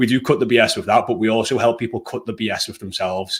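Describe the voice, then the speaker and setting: Over a very clean recording with a silent background, a man with an English accent talks very fast at a medium pitch with ordinary pitch variation. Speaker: fitness coaching business owner. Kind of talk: interview. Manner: hesitant, many fillers.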